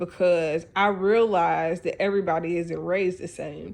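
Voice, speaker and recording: A woman speaks at medium pitch with ordinary pitch variation. Her pace is fairly slow, and the background is quiet. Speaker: life coach. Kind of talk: casual talk to camera. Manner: halting, many fillers.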